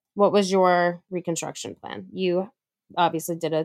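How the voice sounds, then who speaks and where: This is an unremarkable speaking voice with lively intonation at a moderate pace. The sound is dry and close, with no echo. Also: woman. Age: young. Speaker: podcast co-host, breast cancer survivor. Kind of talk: casual chat.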